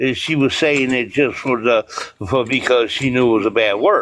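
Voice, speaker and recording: Using a plain, everyday voice, a man talks at a moderate pace, his pitch medium for a man and its variation ordinary. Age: 50s. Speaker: parent caller. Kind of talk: heated debate.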